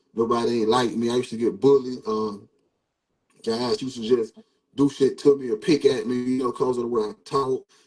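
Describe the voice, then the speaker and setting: At a fairly quick pace, a man with an ordinary speaking voice talks at medium pitch. His intonation is fairly even. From US South, Georgia (Savannah, raised in Statesboro). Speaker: local rapper. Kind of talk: interview. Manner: casual, repetitive.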